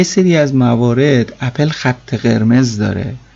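Noticeable background noise sits behind the speech. A man talks at a medium pitch with ordinary pitch variation. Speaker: tech podcast host. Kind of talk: solo podcast monologue.

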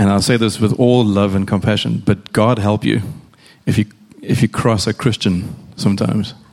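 A man with vocal fry speaks at a moderate pace in a fairly low pitch, keeping his intonation fairly even. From South Africa. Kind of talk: on-stage interview.

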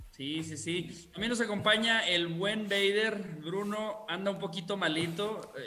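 A man projects his voice in a high pitch with a Mexican accent, speaking fairly slowly with fairly even intonation and hardly any pauses. Audible room echo and noticeable background noise are present. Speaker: podcast host. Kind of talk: casual chat. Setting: video stream.

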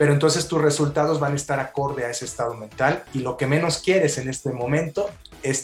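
Against noticeable background noise, a man with a fairly high voice speaks at a fairly quick pace with ordinary pitch variation. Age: 40s. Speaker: life coach. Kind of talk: interview.

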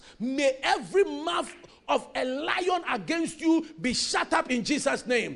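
Crowd noise fills the background as a man talks at a fairly slow pace. His tone is intense and his intonation lively.

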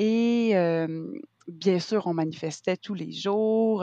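A woman's voice with ordinary pitch variation, a dry, close sound with no echo and a quiet background. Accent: Quebec. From Quebec. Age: 30s. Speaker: actress and arts entrepreneur. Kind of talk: casual interview. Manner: hesitant, many fillers.

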